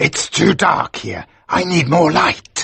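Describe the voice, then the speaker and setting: A raspy, put-on character voice from a man, high in pitch and at a fairly slow pace. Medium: read story.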